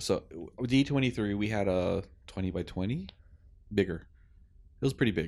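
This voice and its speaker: Pausing long and often, a man talks at a moderate pace in a fairly low voice with ordinary pitch variation. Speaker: podcast co-host. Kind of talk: casual chat.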